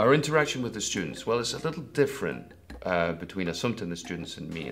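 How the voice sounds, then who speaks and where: Amid noticeable background noise and audible room echo, a man talks at a very fast pace with very wide pitch swings. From Scotland. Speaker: acting teacher. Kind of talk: interview.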